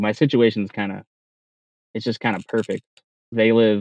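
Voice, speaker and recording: In an American accent, a man with a fairly low pitch moves at a fairly quick pace, the sound dry and close with no echo. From Arizona. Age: 30s. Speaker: cell tower climber. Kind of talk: interview.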